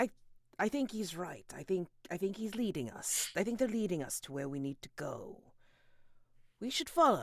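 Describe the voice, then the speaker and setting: A man puts on a resonant character voice, high in pitch with very wide pitch swings. He moves at a moderate pace but leaves long, frequent pauses. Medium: actual play. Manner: grandiloquent, rambling.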